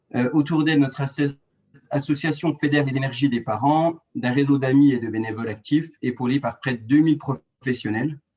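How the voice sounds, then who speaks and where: This man's voice is fairly high-pitched, somewhat breathy and dark and mellow in tone, delivered at a moderate pace with fairly even intonation. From France, rural Doubs (Franche-Comté). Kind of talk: webinar presentation. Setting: online webinar. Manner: hesitant, many fillers and restarts.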